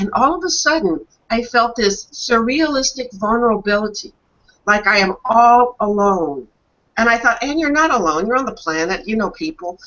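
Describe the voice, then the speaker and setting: At a moderate pace, a woman speaks in an unremarkable speaking voice, fairly high in pitch with lively intonation. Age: 60s. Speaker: talk show host. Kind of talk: casual chat.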